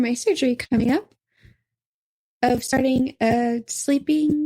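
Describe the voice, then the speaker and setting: A woman's high-pitched voice at a very slow pace, with fairly even intonation and a dry, close sound free of echo. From US South, Arkansas. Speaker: podcaster. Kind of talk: casual chat.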